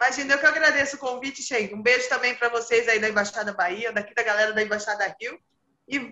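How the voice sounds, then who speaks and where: This woman's voice sits high in pitch. She keeps up a fairly quick pace. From São Carlos, São Paulo state, Brazil. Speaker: football fan guest. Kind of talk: casual football chat.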